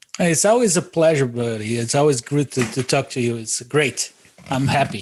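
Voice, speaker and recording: A man speaks at a moderate pace with a Brazilian accent, a medium pitch and ordinary pitch variation, over noticeable background noise. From southern Brazil, Florianópolis. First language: Portuguese. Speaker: podcast guest. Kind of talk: casual interview. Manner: halting, many fillers.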